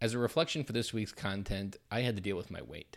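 Ordinary pitch variation in an Upper Midwest accent. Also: man. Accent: Upper Midwest American. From US Midwest, southern Wisconsin. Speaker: community member presenting weekly content. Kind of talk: personal reflection; reading aloud.

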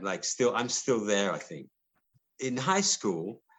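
A man talks at a fairly slow pace with a medium pitch. His pitch swings very widely. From London (Cockney), England. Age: 60s. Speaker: musician. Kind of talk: casual interview.

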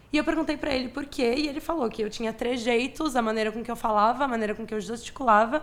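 A woman's fairly high, unremarkable speaking voice with lively intonation. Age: 20s. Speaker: architecture student. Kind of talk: casual interview.

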